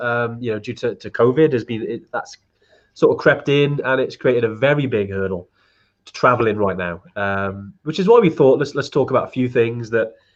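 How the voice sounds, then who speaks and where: In a Welsh accent, a man talks at medium pitch with ordinary pitch variation. His loudness swings widely. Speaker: trekking company host. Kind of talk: live stream Q&A chat. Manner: fast; hesitant, many fillers.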